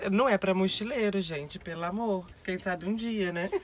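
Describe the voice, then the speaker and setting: Fairly quick and with ordinary pitch variation, a woman talks in an unremarkable speaking voice. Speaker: backpacker, magnet collector. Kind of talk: casual chat.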